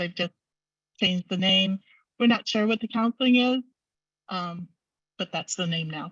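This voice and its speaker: A soft-spoken woman talks with ordinary pitch variation. The sound is dry and close, with no echo. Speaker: advocacy group member presenter. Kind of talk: online meeting presentation. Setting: video call. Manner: speaking louder than usual.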